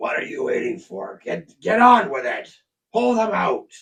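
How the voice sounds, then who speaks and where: It's a raspy, put-on character voice. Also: moderate pace. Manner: commanding, impatient.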